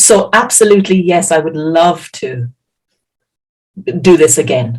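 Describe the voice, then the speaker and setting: A somewhat breathy voice with an Irish accent, lively intonation and a fairly slow pace. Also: woman, fairly low pitch for a woman. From Ireland. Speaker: healer and science teacher. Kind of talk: interpreted presentation.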